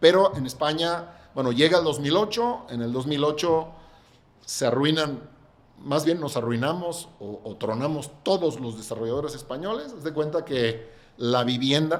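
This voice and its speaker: A man with an ordinary speaking voice talks at a fairly slow pace in a fairly high pitch. His intonation is lively. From Catalonia, Spain. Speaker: real estate developer. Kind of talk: podcast interview.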